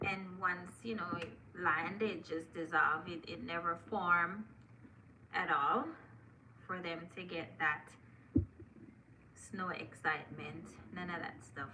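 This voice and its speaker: Speaking at a fairly low pitch and a fairly slow pace, a woman shows ordinary pitch variation and leaves long, frequent pauses, with audible room echo around her. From Jamaica. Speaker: live streamer, content creator. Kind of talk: casual live stream chat. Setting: live stream on laptop. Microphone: laptop.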